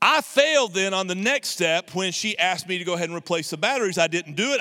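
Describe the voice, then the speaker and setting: A man's raised, projected voice, bright and sharp in tone, races along at a very fast pace. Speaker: pastor. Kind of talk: sermon. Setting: church service, streamed online. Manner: blunt, not nice tone.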